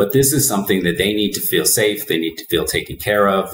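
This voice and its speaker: A man talks at a fairly low pitch, with audible room echo around him. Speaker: remote guest. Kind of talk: interview answer. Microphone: webcam.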